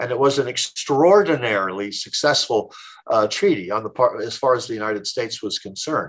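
In a normal speaking voice, a man talks at medium pitch. He moves at a fairly quick pace with lively intonation. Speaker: history professor. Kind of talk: interview.

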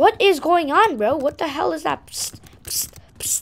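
Over noticeable background noise, a woman speaks at a moderate pace in a high pitch with very wide pitch swings. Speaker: gaming youtuber. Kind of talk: gameplay commentary. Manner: halting; animated.

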